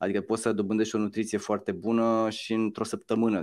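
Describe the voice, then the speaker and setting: A man's medium-pitched, monotone, flat voice at a very fast pace against a quiet background. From Romania. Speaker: musician and social entrepreneur; interview guest. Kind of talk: interview. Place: home room. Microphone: video call.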